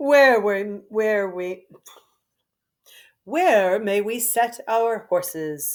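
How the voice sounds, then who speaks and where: Speaking very slowly in a put-on character voice with a fairly high pitch, a woman leaves long, frequent pauses in a very clean recording with a silent background. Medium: read story. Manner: haughty.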